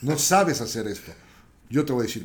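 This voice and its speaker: A man speaks with lively intonation, and audible room echo fills the recording. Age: 60s. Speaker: entrepreneur. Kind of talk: interview.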